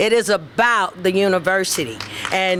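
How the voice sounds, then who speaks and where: With noticeable background noise, a woman talks at a fairly slow pace in a medium pitch with ordinary variation. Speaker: softball coach. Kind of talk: acceptance speech.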